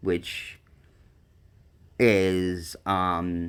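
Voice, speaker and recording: The recording is very clean against a silent background. A man talks with a very deep, low pitch. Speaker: live streamer. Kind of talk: casual live stream chat. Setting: mobile live stream during a hurricane. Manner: halting, many fillers.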